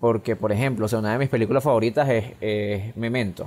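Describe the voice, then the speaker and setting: A man with fairly even intonation and a plain, everyday voice. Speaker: film podcast co-host. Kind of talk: casual chat. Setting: recording from home during quarantine.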